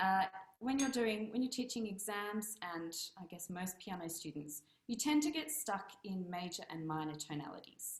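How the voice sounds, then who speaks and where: Speaking at a moderate pace with an Australian accent, a woman's medium-pitched, somewhat breathy voice swings very widely in pitch. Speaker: piano teacher. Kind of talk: casual presentation on video meet-up.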